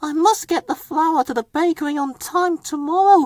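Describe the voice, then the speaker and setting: A man puts on a squeaky character voice at an extremely high pitch. He speaks at a moderate pace. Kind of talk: children's story reading. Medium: read story. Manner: polite, cheerful.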